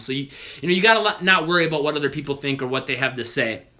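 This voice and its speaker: A man with a fairly high pitch talks at a very fast pace over noticeable background noise. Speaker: basketball trainer. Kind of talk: live Q&A stream.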